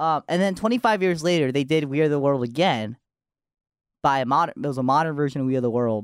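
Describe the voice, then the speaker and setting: Lively intonation and very even loudness come through at a very fast pace. The recording is very clean with a silent background and a dry, close sound with no echo. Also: man, fairly high pitch for a man. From Japan. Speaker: college radio co-host. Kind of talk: casual chat. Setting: studio.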